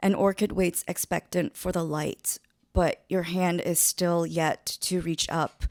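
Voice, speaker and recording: Dry and close with no echo, a woman's fairly low voice moves at a fairly slow pace in a monotone, flat intonation. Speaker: poet and middle school teacher. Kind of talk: poetry reading.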